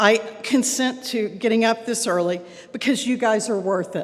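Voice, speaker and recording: With a Texan accent, a woman talks at a moderate pace in a fairly high pitch with ordinary pitch variation. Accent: Texan American English. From Texas. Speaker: club president. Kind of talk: welcome speech.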